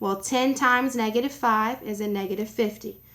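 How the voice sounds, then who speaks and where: A woman's voice sits at a fairly high pitch, with a bright, sharp tone and ordinary pitch variation. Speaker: math teacher. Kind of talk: tutorial. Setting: sitting alone recording video. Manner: fast.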